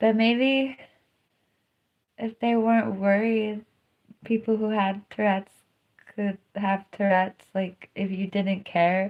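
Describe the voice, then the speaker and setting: Here a woman speaks at a medium pitch in a flat monotone. Her pace is very slow, broken by long, frequent pauses. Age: 30s. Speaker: live streamer and DJ. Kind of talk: casual livestream monologue. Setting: livestream. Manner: vocal tics, squeals.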